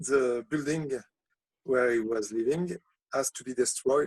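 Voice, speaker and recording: With a French accent, a man speaks fairly slowly at a fairly high pitch with ordinary pitch variation. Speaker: poet. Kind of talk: casual chat. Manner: halting.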